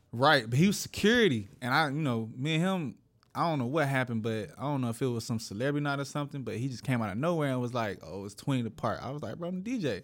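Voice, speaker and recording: Speaking at a very fast pace with lively intonation, the voice carries an American accent on a very clean recording with a silent background. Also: man, medium pitch for a man. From Atlanta, US South. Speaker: DJ. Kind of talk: casual interview.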